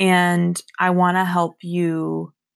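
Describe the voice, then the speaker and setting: A woman speaks in an ordinary speaking voice at medium pitch with ordinary pitch variation. The recording is very clean, with a silent background. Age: 20s. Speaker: podcast host. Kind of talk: casual monologue.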